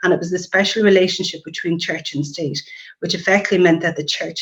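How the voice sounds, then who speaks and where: Speaking very fast with an Irish accent, a woman keeps a fairly low pitch and fairly even intonation. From Ireland. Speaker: nurse practitioner. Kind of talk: webinar presentation. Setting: online webinar.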